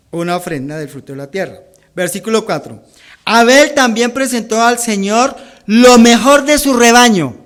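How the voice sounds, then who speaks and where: A man speaks at a moderate pace with an extremely high pitch and lively intonation. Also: big swings in loudness. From Colombia, Bogotá. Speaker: pastor. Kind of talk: sermon.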